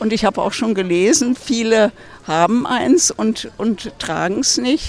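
A woman talks very slowly while noticeable background noise carries on behind her. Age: 80s+. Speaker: passer-by. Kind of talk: street interview. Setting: outdoors.

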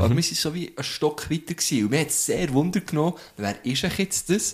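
Here is a man with an ordinary speaking voice at a fairly high pitch. He moves at a fairly quick pace with lively intonation. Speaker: podcast host. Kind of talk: casual chat. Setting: studio.

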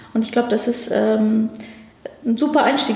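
Audible room echo and noticeable background noise around a woman's fairly high pitch. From Afghanistan, moved to Germany as a child. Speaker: government ministry department head. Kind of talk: interview. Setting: ministry office.

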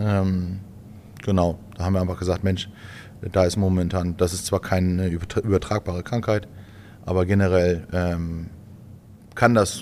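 A man speaks with fairly even intonation. His pitch is very deep and low. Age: 30s. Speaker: farmer. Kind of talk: casual chat. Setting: farm.

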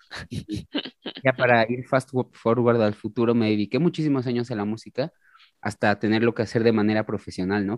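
Fairly even intonation from a man talking at a fairly quick pace. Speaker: musician and retro football shirt collector. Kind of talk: casual chat.

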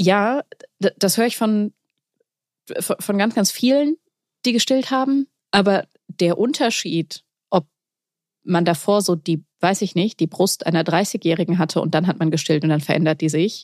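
Speech at a fairly slow pace with long, frequent pauses, lively intonation and very even loudness comes through a dry, close sound with no echo on a very clean recording with a silent background. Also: woman, medium pitch for a woman. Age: 30s. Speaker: poetry slammer and young mother. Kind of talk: casual chat.

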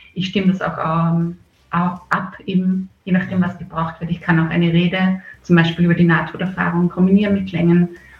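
A woman speaks at a fairly quick pace in a fairly low pitch, her intonation monotone and flat. Background noise is noticeable. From Upper Austria, rural (Bad Schallerbach area). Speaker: festival organizer. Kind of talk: radio interview. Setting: video call.

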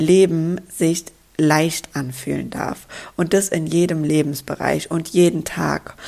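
Using a fairly low pitch and fairly even intonation, a woman speaks at a very slow pace. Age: 20s. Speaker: podcast host and coach. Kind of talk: solo podcast monologue.

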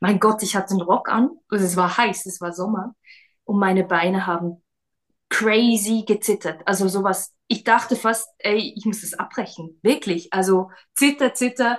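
With a normal speaking voice, a woman of medium pitch talks at a moderate pace, showing ordinary pitch variation and big swings in loudness. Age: 30s. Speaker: schoolteacher and former stage actress and singer. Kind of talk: casual interview.

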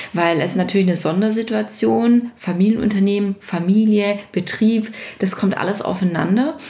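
A woman talks at a moderate pace with a medium pitch and ordinary pitch variation, and there is noticeable background noise. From Baden-Württemberg, near Stuttgart. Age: 30s. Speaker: business owner and association chair. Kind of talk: interview.

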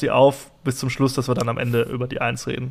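A man talks at a fairly quick pace with medium pitch. He has a plain, everyday voice. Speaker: podcast host. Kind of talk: casual chat.

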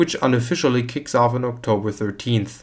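A man talks at a fairly quick pace and medium pitch in a normal speaking voice. The recording is very clean, with a silent background. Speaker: market news presenter. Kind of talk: scripted financial news reading, formal newsreader delivery of market figures and quotes. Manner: formal, even-paced and matter-of-fact; measured, neutral, steady reading of numbers.

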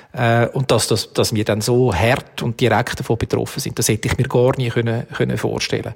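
With vocal fry and a Swiss accent, a man talks at a fairly quick pace with hardly any pauses. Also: medium pitch for a man, fairly even intonation. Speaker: event agency executive. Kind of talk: interview.

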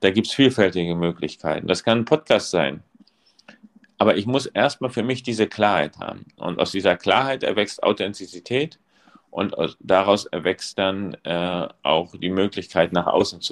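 In an unremarkable speaking voice, a man talks at a moderate pace and fairly low pitch with lively intonation, in a dry, close sound with no echo. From East Germany. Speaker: school principal. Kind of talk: casual chat.

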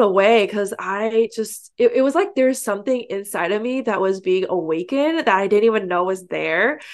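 A woman's medium-pitched voice with a West Coast accent, over a quiet background. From San Francisco Bay Area, US. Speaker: online entrepreneur and coach. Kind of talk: interview.

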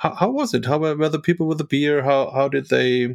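In a very clean recording with a silent background and a dry, close sound with no echo, a man with a fairly high pitch speaks with a German accent and ordinary pitch variation. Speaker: podcast host. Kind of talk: casual interview chat.

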